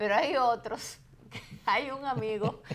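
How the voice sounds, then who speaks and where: A woman with a Dominican accent, very slow in pace, with ordinary pitch variation. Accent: Dominican, very clear pronunciation. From Dominican Republic. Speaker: radio host. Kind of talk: casual chat.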